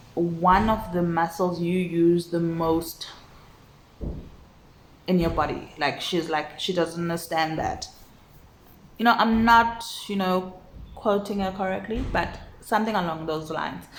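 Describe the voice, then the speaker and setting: With noticeable background noise behind her, a woman speaks at a fairly slow pace, with long, frequent pauses and ordinary pitch variation. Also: fairly low pitch for a woman. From South Africa. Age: 30s. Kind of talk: casual talk to camera. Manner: reflective, hesitant.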